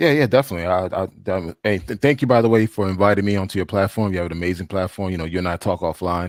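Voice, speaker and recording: In a very clean, dry, close recording with no echo and a silent background, a man with a slight Haitian accent talks very fast at a very deep, low pitch, with ordinary pitch variation and hardly any pauses. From Haiti, raised in US from childhood. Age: 40s. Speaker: traveler, panel guest. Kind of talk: casual chat.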